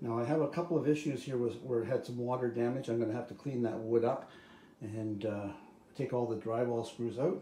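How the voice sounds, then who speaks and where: Ordinary pitch variation and audible room echo mark this fairly quick delivery. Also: man. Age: 70s. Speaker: DIY home renovator. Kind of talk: DIY video diary. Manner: casual, halting.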